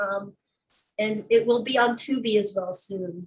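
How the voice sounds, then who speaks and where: A woman's fairly high, somewhat breathy voice with fairly even intonation. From Philippines. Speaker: filmmaker and activist. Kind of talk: casual interview.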